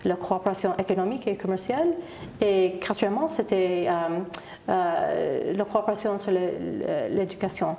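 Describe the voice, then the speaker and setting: Over noticeable background noise, a woman with an English accent speaks at a medium pitch and a fairly slow pace with very even loudness. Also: ordinary pitch variation. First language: English (speaking French). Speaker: ambassador. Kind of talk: TV interview. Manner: halting, many hesitations.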